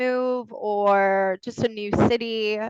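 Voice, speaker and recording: In a dry, close sound with no echo, a woman with an American accent speaks with fairly even intonation. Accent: American accent, noticeable. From US (born in Texas, university in Colorado). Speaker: legal recruiter. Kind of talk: webinar presentation. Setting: video webinar.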